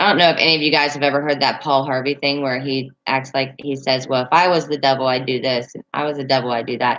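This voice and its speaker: A woman talks at a fairly quick pace with a Southern accent. Her pitch sits very deep and low. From Northern Virginia, near West Virginia line. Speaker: livestreamer. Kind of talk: casual chat. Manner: halting, many fillers.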